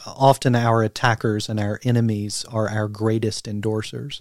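Recorded very cleanly against a silent background, with a dry, close sound and no echo, a man with an American accent and medium pitch speaks at a fairly slow pace. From US South, southeastern Kentucky. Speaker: theologian and pastor. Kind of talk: casual interview.

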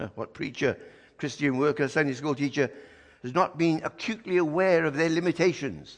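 A man with vocal fry speaks at a moderate pace, his pitch fairly high with ordinary variation. Long, frequent pauses break up his speech over a quiet background. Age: old. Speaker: visiting preacher. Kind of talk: sermon. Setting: church.

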